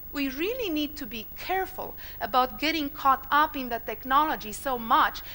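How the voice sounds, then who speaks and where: Raised and projected, a woman's high voice carries at a moderate pace. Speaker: marketing executive giving a conference talk. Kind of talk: conference presentation.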